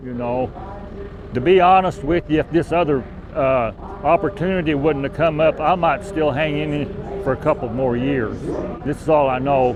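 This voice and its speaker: With an American accent, a man speaks at a moderate pace and a fairly high pitch with ordinary pitch variation, leaving long, frequent pauses amid noticeable background noise. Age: 60s. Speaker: cattle farmer. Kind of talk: interview. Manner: halting, repeats words.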